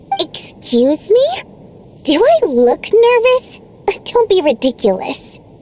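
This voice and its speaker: Using a put-on character voice, a woman speaks at an extremely high pitch with very wide pitch swings, a fairly slow pace and long, frequent pauses. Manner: defensive, haughty.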